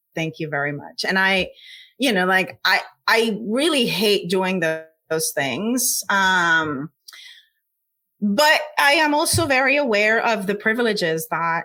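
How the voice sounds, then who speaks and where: A woman with a medium-pitched, bright, sharp voice speaks at a fairly slow pace with very wide pitch swings. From Puerto Rico. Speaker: scientist. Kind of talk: interview.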